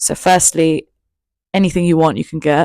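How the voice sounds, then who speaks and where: A woman's very deep, low voice with fairly even intonation, in a London accent. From England, East London. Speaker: YouTuber. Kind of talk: storytime monologue. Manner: casual. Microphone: new mic.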